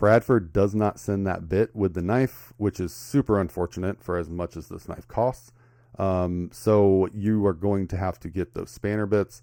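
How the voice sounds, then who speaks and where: A man with an American accent speaks at a moderate pace and a fairly low pitch, with ordinary pitch variation. His tone is dark and mellow, and the sound is dry and close with no echo against a quiet background. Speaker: knife collector YouTuber. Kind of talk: product review. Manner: halting, many filler words.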